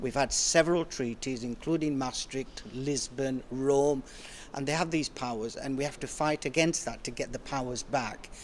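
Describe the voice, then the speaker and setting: With a normal speaking voice, the man holds a medium pitch and fairly even intonation. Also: moderate pace. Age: 60s. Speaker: politician. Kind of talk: interview.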